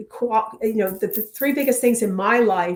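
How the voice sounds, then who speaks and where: This woman speaks with a New England accent at a moderate pace. Her pitch is fairly high and varies in an ordinary way. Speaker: victim advocate and author. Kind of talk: interview.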